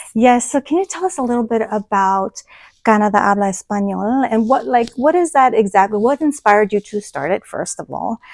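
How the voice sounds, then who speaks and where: A woman with a fairly high pitch and lively intonation speaks at a fairly quick pace in a dry, close sound with no echo. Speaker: podcast host. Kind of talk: interview podcast. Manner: reads from notes.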